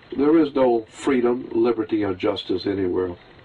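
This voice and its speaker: A man talks with an American accent against noticeable background noise. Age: 70s. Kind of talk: interview. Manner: impassioned.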